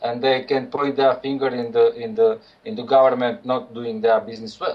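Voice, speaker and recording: A man in a Croatian accent, fairly high in pitch, with lively intonation at a moderate pace. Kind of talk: radio interview. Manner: halting.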